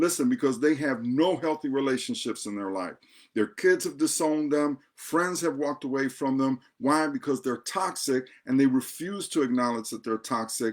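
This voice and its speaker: In a very clean recording with a silent background, a man talks at a moderate pace in a fairly high, animated voice with ordinary pitch variation. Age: 60s. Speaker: pastor and divorce coach. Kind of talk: advice talk to camera.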